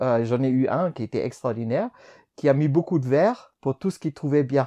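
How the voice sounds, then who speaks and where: The man's voice has a fairly high pitch and a dark, mellow tone, heard as a dry, close sound with no echo. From Germany. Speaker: collaborative intelligence consultant. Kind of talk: interview. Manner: halting.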